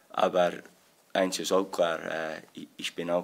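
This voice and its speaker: A man with a very deep, low voice speaks at a fairly slow pace in a monotone, flat delivery. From Scotland. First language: English (speaking German). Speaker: football assistant coach. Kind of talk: press conference. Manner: halting.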